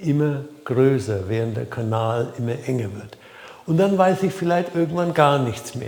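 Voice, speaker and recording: A man at a medium pitch with a Franconian accent, lively intonation and a fairly slow pace, amid noticeable background noise and audible room echo. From Franconia, Germany. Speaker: life coach. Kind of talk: talking-head video. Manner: hesitant, with fillers.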